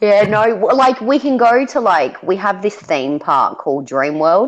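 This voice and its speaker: A woman with an Australian accent speaks at a fairly slow pace in a medium pitch, using very wide pitch swings, vocal fry and very even loudness. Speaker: parent homeschooling her daughter, chat guest. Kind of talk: casual chat.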